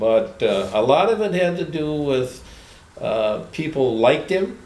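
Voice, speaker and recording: Through noticeable background noise, a man with a fairly high pitch speaks at a fairly slow pace with very wide pitch swings. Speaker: retired farm equipment dealer. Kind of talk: interview answer.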